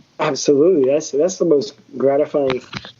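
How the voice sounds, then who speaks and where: Speaking with a Southern US accent, a man talks at a moderate pace with a fairly high pitch. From US South, Georgia. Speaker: tattoo artist. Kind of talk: casual interview chat. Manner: repeats words, halting starts.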